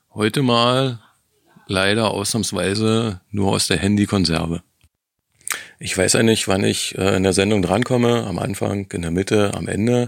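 His pitch is fairly low, with ordinary variation. The man keeps a moderate pace. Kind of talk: pre-recorded voice message.

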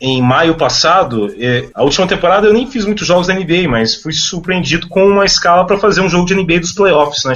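A man with a high voice talks fairly quickly while noticeable background noise carries on. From Minas Gerais, Brazil. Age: 30s. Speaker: sports commentator. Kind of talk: casual chat.

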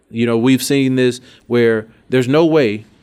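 The speaker is a man with an Alabama accent. His pitch moves in an ordinary way. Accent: Southern US (Alabama). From Alabama, US South. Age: 30s. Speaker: state politician. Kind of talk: interview.

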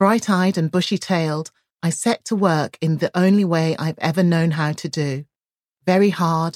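A woman with an ordinary speaking voice talks at a moderate pace, her fairly low pitch showing ordinary pitch variation. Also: very clean recording, silent background. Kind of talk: audiobook reading of her own memoir chapter, first-person narration.

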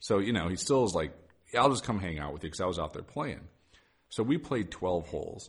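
Somewhat breathy and very fast, the voice moves in very wide pitch swings. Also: man, fairly low pitch for a man. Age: 40s. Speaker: golf podcast host. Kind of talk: casual chat. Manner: animated.

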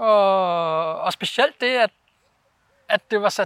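With a bright, sharp tone, a man talks at a very slow pace in a dry, close sound with no echo, on a very clean recording with a silent background. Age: 40s. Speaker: snowpark owner and snowboarder. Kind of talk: interview. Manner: hesitant, many fillers.

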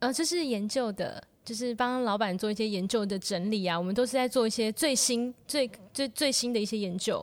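A woman talks at a fairly quick pace. Her fairly high voice has ordinary pitch variation. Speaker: piano teacher and hospital researcher. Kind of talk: casual chat.

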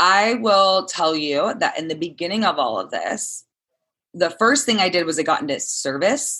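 A woman with an American accent speaks at a moderate pace in a bright, sharp tone with very wide pitch swings. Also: medium pitch for a woman. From Southern California. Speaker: wellness coach. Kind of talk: casual interview. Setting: video call.

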